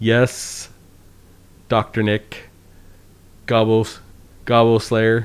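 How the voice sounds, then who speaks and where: Very slow, monotone speech from a man with a slight Canadian accent and long, frequent pauses. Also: medium pitch for a man. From Canada, northern Saskatchewan. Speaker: game streamer. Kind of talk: live commentary. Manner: casual, halting.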